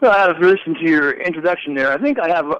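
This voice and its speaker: A man's high-pitched voice at a fairly quick pace, with lively intonation. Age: 60s. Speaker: caller, freelance contractor. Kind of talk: phone call-in conversation. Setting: phone call. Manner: halting.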